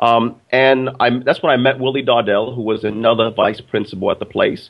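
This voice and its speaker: Speaking fairly quickly, a man at medium pitch talks with a Brooklyn accent. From Brooklyn, New York, then upstate New York. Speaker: business educator and author. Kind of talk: interview. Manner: halting, with repeated words.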